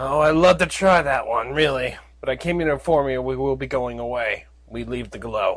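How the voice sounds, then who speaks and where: A man speaks at a medium pitch in a put-on character voice. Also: moderate pace. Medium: read story. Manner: weary, kind.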